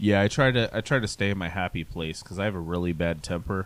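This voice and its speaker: A man speaks at a fairly quick pace with an angry tone. His pitch is very deep and low. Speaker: podcast co-host. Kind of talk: casual chat. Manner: monotone; sounds angry.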